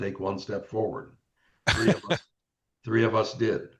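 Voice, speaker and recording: Here a man talks at a fairly low pitch and a moderate pace. His voice is somewhat breathy. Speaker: Marine Corps Vietnam veteran. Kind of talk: interview answer. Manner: hesitant, repetitive.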